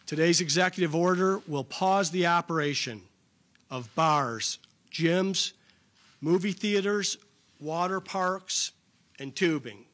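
A man speaks at a high pitch with ordinary pitch variation. His pace is very slow, with long, frequent pauses. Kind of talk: formal public announcement. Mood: serious, measured. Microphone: podium.

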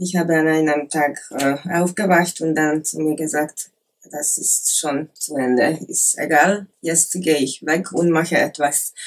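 With light background noise, a woman speaks in a Hungarian accent at a fairly slow pace, her very deep, low pitch held in fairly even intonation. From Hungary, Lake Balaton area; Hungary. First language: Hungarian (speaking German). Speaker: former adult film actress; interview guest. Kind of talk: interview; interview answer. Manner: halting, many hesitations. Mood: calm, personal, reflective. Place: office.

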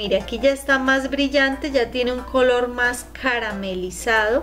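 Faint music plays in the background. A woman speaks at a high pitch with fairly even intonation. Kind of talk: tutorial. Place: kitchen. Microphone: phone near.

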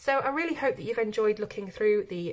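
With a British accent, a woman talks at a very fast pace in a fairly high pitch. Her voice makes very wide pitch swings. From UK. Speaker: YouTube colouring book reviewer. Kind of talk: product review.

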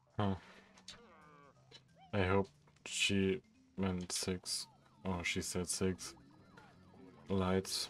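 A man speaks very slowly in a very deep, low voice, with long, frequent pauses. His intonation stays monotone and flat, and music plays in the background. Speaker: gaming channel host. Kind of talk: casual gameplay commentary.

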